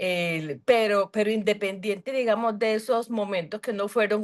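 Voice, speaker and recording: A woman with a Colombian Caribbean accent speaks at a fairly slow pace against a quiet background. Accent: Colombian Caribbean coastal Spanish. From Colombia, Cartagena (Caribbean coast). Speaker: book club member. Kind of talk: video call discussion. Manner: hesitant, many fillers.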